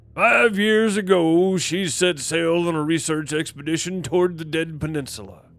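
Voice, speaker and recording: A man uses a put-on character voice, high-pitched for a man, with ordinary pitch variation. He keeps a moderate pace with hardly any pauses. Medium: game stream. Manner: blunt, probing.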